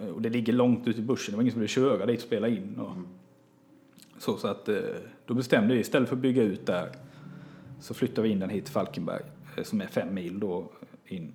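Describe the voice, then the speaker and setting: A man talks at a very fast pace yet with long, frequent pauses, his medium-pitched voice dark and mellow in tone with ordinary pitch variation. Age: 30s. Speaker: theatre director and comedy writer. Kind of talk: casual interview. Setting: studio.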